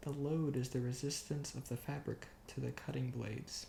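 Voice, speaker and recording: Soft-spoken and somewhat breathy, the voice has a calm, dark, mellow tone, a fairly slow pace and fairly even intonation. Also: man. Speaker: ASMR creator. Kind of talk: ASMR bedtime reading of an engineering book. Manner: soft-spoken, calm.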